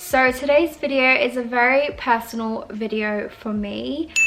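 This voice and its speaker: A woman with an Australian accent keeps her intonation fairly even. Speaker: beauty YouTuber. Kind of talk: casual talk to camera. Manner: hesitant, some stuttering.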